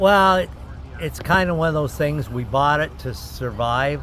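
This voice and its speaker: The speaker moves at a moderate pace with very wide pitch swings. Noticeable background noise and audible room echo fill the recording. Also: man. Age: 70s. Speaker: race car driver. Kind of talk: casual interview.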